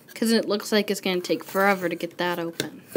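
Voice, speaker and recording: A woman's voice over light background noise. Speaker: toy unboxing vlogger. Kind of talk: casual toy review chat. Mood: cheerful, enthusiastic. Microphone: phone near.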